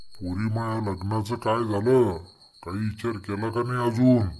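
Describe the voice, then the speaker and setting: Using a cartoonish character voice at a medium pitch, a man speaks at a fairly slow pace. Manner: cranky, demanding.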